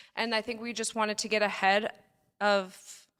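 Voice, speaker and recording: A normal speaking voice moves at a moderate pace on a very clean recording, its background silent. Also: woman. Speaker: nurse injector and podcaster. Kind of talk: casual chat.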